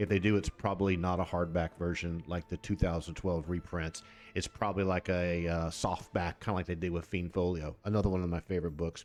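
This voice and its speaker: A man with an American accent speaks in a very deep, low voice at a fairly quick pace. His delivery is monotone and flat, with hardly any pauses. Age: 60s. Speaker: tabletop gaming YouTuber, game director. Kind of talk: casual tutorial video. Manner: conversational, with fillers and self-corrections.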